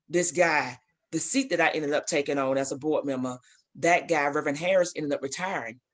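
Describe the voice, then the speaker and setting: Someone with a Southern US accent talks against a quiet background. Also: woman, very deep, low pitch for a woman, fairly even intonation. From Alabama. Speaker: basketball coach and athletic director. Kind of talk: interview.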